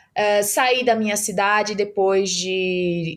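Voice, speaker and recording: A woman at a medium pitch with a northeastern Brazilian accent, on a very clean recording with a silent background. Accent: northeastern Brazilian, kept. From Brazilian Northeast, Mossoró, Rio Grande do Norte. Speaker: startup founder and CEO. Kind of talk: podcast interview. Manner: hesitant, many fillers.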